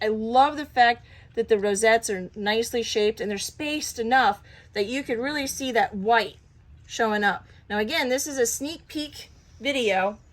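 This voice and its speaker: In a very clean recording with a silent background, a woman with an unremarkable speaking voice talks at a moderate pace, her fairly high pitch showing ordinary variation. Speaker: cat breeder. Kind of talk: casual show-and-tell video.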